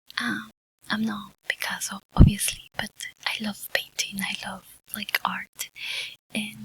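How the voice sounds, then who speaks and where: A woman whispering at a very slow pace in a Spanish accent, with a dry, close sound and no echo. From Mexico. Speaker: ASMR YouTuber. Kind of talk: ASMR ramble. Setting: home studio. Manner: soft-spoken, whispery.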